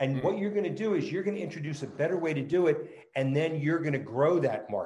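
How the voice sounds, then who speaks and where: A man with an American accent talks at a very fast clip in a high voice. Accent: New Jersey, tempered by California. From New Jersey. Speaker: startup founder. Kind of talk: casual interview chat.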